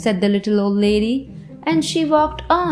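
Someone reads in an unforced reading voice. That voice carries the whole recording.

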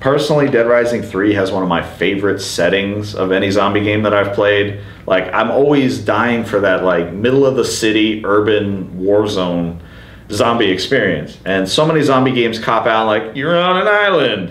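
Audible room echo around a man talking at a moderate speed, his fairly low pitch varying in an ordinary way. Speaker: game podcast host. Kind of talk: casual discussion about video games. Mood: enthusiastic, casual. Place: home room. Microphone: camera far.

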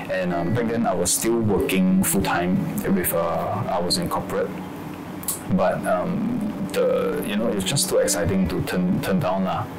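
A man speaks at a fairly slow pace. Behind him, clear music plays. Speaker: actor in the film. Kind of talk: interview answer. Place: office.

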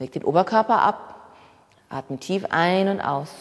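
Over noticeable background noise, a woman speaks at a fairly slow pace in an animated tone with lively intonation. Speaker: fitness instructor. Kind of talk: guided workout instruction. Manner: brisk, rhythmic cueing.

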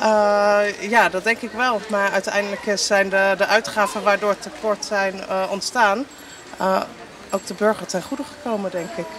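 A woman speaks at a fairly slow pace with ordinary pitch variation. The sound is dry with no echo, though there is noticeable background noise. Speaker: local resident. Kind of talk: vox pop street interview. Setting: outdoors on the street. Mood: thoughtful, calm. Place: street.

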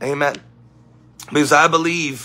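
A man speaking in a monotone, flat intonation at a moderate pace. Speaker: preacher livestreaming. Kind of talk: sermon-style livestream talk. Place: home room. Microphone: phone near.

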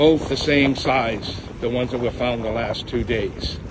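Noticeable background noise around a man speaking at a moderate pace. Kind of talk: casual vlog chat. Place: beach. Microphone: phone near.

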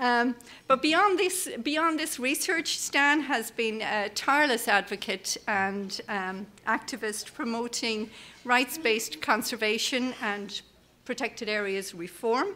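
A woman with a high pitch, lively intonation and a very slow pace, over light background noise. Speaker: conference host introducing the keynote speaker. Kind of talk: speaker introduction. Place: hall. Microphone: podium.

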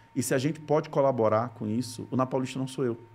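Here a man speaks with a fairly high pitch and a somewhat breathy quality. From Brazil, Rio Grande do Norte (Natal); Rio Grande do Norte, Brazil. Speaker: content creator, former TV journalist. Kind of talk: casual interview. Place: studio. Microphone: studio mic.

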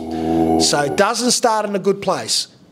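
Over light background noise, a man speaks at a fairly slow pace with lively intonation. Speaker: actor promoting film. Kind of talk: interview answer. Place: hall. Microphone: handheld.

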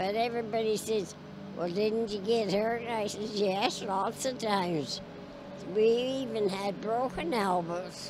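A woman's voice with fairly even intonation, dry with no echo, over noticeable background noise. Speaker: interviewee. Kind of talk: interview answer. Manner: frail, very elderly woman's voice. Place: stadium. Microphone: handheld.

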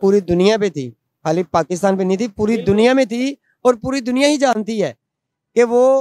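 A man's high-pitched voice with a dark, mellow tone, ordinary pitch variation, a moderate pace and a dry sound with no echo. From Pakistan, Punjab. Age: 40s. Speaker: member of the public interviewed on the street; interviewee. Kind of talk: heated debate. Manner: animated. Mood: critical, opinionated. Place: market. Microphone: handheld.

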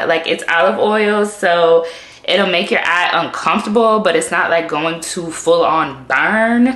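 A woman speaks with ordinary pitch variation. Room echo is audible in the recording. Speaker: beauty vlogger. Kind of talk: casual vlog chat. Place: bathroom. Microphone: phone near.

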